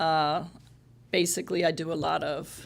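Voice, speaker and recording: Amid audible room echo, a woman talks very slowly in a fairly low voice with vocal fry. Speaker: police social worker. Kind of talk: public meeting remarks. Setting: city council meeting. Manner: halting.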